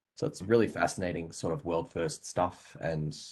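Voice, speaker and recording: This man has a very deep, low voice with a somewhat breathy quality and an Australian accent. He talks at a fairly quick pace with lively intonation. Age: 20s. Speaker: software developer. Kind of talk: interview.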